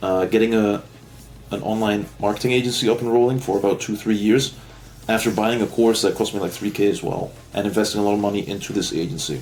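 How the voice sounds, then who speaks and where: Speaking at a very fast pace, a man talks with a non-native accent. His pitch is fairly low and his intonation fairly even. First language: not English. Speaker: online marketing agency owner, vlogger. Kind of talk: casual rant vlog. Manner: rambling, hesitant with fillers.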